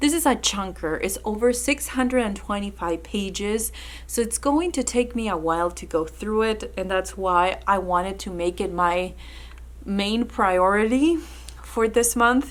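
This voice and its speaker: A woman talks with a Spanish accent. Her pace is fairly slow. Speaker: book content creator. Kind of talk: casual vlog talk.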